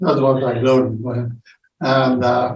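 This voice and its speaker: Vocal fry runs through this man's speech, delivered at a fairly slow pace. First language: Italian. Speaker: wartime childhood survivor. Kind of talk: casual chat. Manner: halting.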